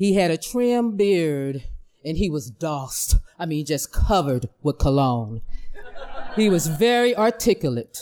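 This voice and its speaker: A woman speaks at a very slow pace in a dramatic tone, captured in a very clean recording with a silent background. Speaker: school principal. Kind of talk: live storytelling. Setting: stage with audience.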